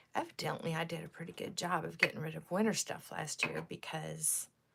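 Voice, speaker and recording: A woman at a moderate pace. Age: 60s. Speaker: lifestyle vlogger. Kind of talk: casual livestream chat with viewers. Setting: live stream on camera. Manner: chatty, with frequent fillers.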